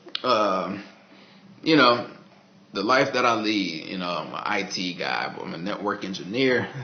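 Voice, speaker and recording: With an American accent, a man speaks fairly slowly at a fairly low pitch, with ordinary pitch variation and long, frequent pauses. Noticeable background noise and audible room echo surround him. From Texas, Dallas. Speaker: vlogger, network engineer. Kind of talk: casual video diary monologue. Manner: casual, halting with fillers.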